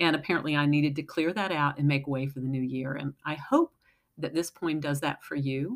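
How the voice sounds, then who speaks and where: Speaking at a fairly quick pace, a woman with a very deep, low pitch and a warm tone keeps her intonation fairly even in a very clean recording with a silent background. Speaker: poet. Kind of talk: poem reading. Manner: warm, sincere.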